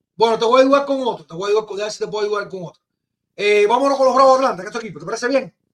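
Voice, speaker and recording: A man's high-pitched, very fast delivery with ordinary pitch variation and big swings in loudness. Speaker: podcast host. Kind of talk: casual chat. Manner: animated.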